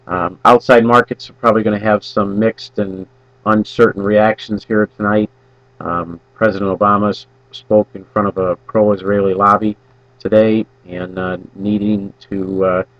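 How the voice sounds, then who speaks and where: At a moderate pace, this American-accented voice stays monotone and flat in a dry, close sound with no echo. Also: man, fairly low pitch for a man. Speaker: grain market analyst. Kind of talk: market outlook commentary. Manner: halting, many fillers.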